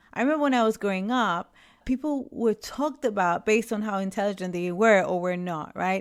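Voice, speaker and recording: Recorded very cleanly with a silent background, a woman with a Spanish accent speaks at a fairly quick pace, at medium pitch with ordinary pitch variation. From Puerto Rico. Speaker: leadership coach and podcast host. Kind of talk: podcast monologue.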